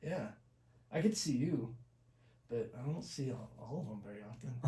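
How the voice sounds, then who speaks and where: In a room with audible echo, a soft-spoken man with a medium pitch talks at a moderate pace in a dark, mellow, somewhat breathy tone, with ordinary pitch variation and big swings in loudness. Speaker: accident survivor. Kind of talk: casual chat. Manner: halting.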